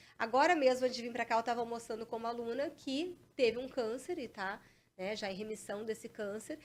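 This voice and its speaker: A woman's fairly high voice, animated in tone, fairly quick, with ordinary pitch variation. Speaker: police chief and exam-prep mentor. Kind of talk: interview. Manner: fast.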